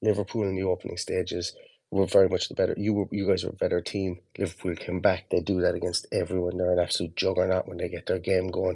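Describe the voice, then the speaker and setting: With an Irish accent, a man speaks at a very fast pace with hardly any pauses, his very deep, low voice dark and mellow in tone and his intonation monotone and flat. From Ireland. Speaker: football fan podcaster. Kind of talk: casual chat. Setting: online audio call.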